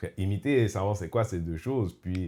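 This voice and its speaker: A man's fairly low voice, dark and mellow in tone, at a fairly quick pace with ordinary pitch variation. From Quebec, Montreal. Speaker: podcast host. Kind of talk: casual chat. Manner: animated, mixes in English.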